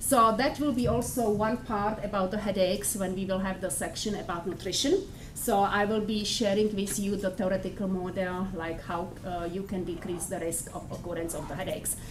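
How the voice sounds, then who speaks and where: A woman with a Czech accent talks at a fairly quick pace with hardly any pauses and ordinary pitch variation, over light background noise. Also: medium pitch for a woman. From Czech Republic. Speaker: professor. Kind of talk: lecture. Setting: classroom. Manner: halting. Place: classroom.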